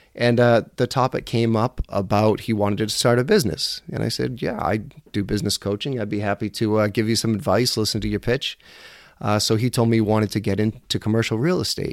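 A man talks at a very fast pace in a medium pitch with fairly even intonation. The recording is very clean with a silent background, and the sound is dry and close with no echo. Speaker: podcast host and business coach. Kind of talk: solo podcast monologue. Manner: casual, conversational with filler words.

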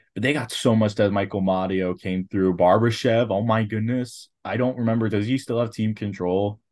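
Against a quiet background, a man with an unremarkable speaking voice talks at a moderate pace and fairly low pitch, with fairly even intonation and hardly any pauses. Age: 20s. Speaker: hockey podcast co-host. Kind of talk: casual chat.

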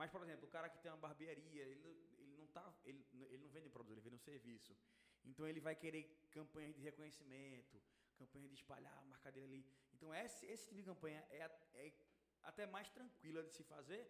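Very fast speech from a man with a fairly high pitch and ordinary pitch variation. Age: 20s. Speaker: paid traffic manager. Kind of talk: casual chat.

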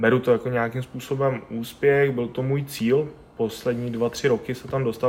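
At a fairly quick pace, a man talks in a medium pitch. His intonation is monotone and flat. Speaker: CrossFit athlete and coach. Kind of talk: interview.

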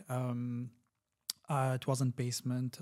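A man speaks at a moderate pace with an Arabic accent. His pitch is medium and his tone dark and mellow. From Kuwait (Syrian family). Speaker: tech executive. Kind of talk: casual chat.

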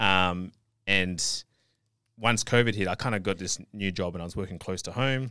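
Pausing long and often, a man talks at a moderate pace in a bright, sharp tone. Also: fairly low pitch for a man, fairly even intonation, very clean recording, silent background. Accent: Australian. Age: 30s. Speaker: online fitness coach and natural bodybuilder. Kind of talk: interview. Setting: studio.

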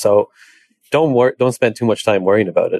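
A man with an Irish accent, dark and mellow in tone, at a fairly quick pace with ordinary pitch variation, in a dry, close recording with no echo. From Ireland. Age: 30s. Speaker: equine veterinarian. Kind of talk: interview. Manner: halting, many fillers.

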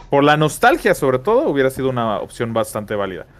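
The speaker talks at a fairly quick pace with a Mexican accent. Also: man. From Mexico. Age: 30s. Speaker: gaming podcast co-host. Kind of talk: casual chat.

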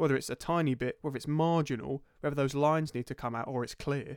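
A man's fairly high voice, flat and monotone at a fairly quick pace, on a very clean recording with a silent background. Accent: southern English. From southern England (Crawley, West Sussex). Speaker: podcast co-host. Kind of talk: casual chat.

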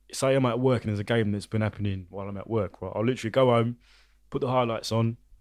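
Speaking very fast with an ordinary pitch variation, a man with a British accent talks at a medium pitch. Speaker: podcast guest. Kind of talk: casual chat.

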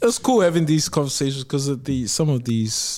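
With a New Zealand accent, a man speaks at a moderate pace. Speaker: podcast co-host. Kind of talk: casual interview conversation.

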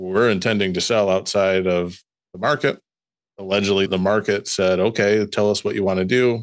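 With a Midwestern US accent, a man talks at a moderate pace with fairly even intonation. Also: fairly low pitch for a man, very even loudness, very clean recording, silent background. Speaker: lawyer podcast host. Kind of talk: casual chat, legal discussion.

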